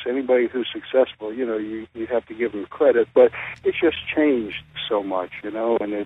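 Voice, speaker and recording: A man talks in an unremarkable speaking voice. His pace is fairly quick and his intonation lively. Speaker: professional wrestler. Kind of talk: interview answer. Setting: phone line. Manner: casual, conversational.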